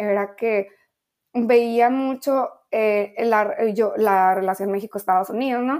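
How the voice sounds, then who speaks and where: A woman speaks in an unremarkable speaking voice with a fairly high pitch. Her pace is fairly slow and her intonation fairly even. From Mexico, Ensenada, Baja California. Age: young. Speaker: international affairs professional. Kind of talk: interview.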